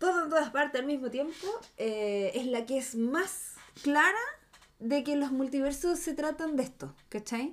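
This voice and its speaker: The woman's tone is animated, with very wide pitch swings. She speaks at a fairly slow pace. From Chile. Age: 30s. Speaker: podcast co-host. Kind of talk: casual chat.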